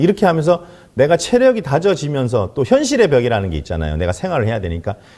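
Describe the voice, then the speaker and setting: This man's voice has a dark, mellow tone. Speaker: network marketing distributor. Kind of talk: business presentation.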